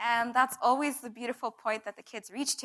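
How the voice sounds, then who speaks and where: Her tone bright and sharp, a woman speaks at a high pitch. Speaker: spoken word poet. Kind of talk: talk introducing a poem at a live event. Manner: fast, nervous.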